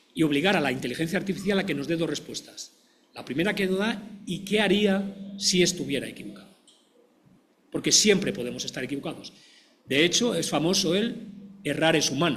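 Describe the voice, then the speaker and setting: At a fairly quick pace, a man with a high pitch and ordinary pitch variation talks with long, frequent pauses. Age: 60s. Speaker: physician and professor. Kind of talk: panel discussion.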